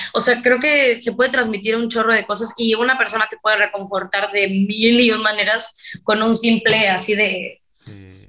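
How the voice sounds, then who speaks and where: A woman speaks at a moderate pace with hardly any pauses, her pitch fairly high. Her intonation is monotone and flat, on a very clean recording with a silent background. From Mexico, Veracruz. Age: 20s. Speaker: singer. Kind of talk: casual chat.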